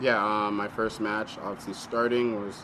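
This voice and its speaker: Over noticeable background noise and audible room echo, a man with an American accent speaks in a fairly low pitch with monotone, flat intonation. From north of the US or Canada. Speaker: professional soccer player. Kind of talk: press conference answers.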